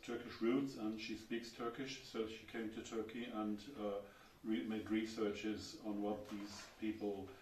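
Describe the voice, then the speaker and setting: A man with a German accent speaks fairly slowly at a fairly low pitch in a flat monotone, with audible room echo. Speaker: architecture writer. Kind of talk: lecture. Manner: halting.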